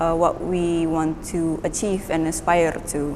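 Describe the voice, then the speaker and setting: A woman talks very slowly while noticeable background noise is heard. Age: 20s. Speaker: painter, university student. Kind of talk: artist talk about own work.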